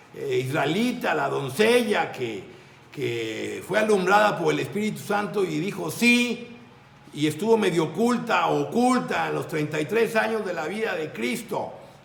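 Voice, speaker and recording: A man talks at a fairly slow pace in a high pitch with very wide pitch swings, and the recording carries audible room echo and noticeable background noise. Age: 60s. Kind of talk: religious talk.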